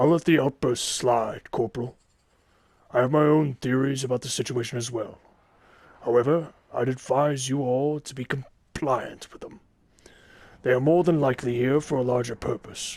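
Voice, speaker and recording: A man speaks in a put-on character voice at a medium pitch. His pace is moderate, broken by long, frequent pauses. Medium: machinima. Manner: authoritative, measured.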